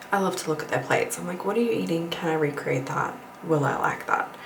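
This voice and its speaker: A woman whispering amid noticeable background noise and audible room echo. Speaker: lifestyle vlogger. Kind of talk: casual vlog talk to camera.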